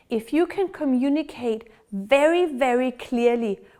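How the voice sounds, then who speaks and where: A woman speaks in a Danish accent. Her tone is dark and mellow, with lively intonation. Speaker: dog trainer. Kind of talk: tutorial.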